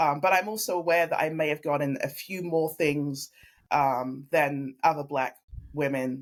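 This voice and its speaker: A woman with a very deep, low pitch and a slight English accent speaks at a moderate pace with fairly even intonation on a very clean recording with a silent background. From London, England. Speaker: family law attorney. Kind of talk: interview podcast conversation. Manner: earnest, reflective.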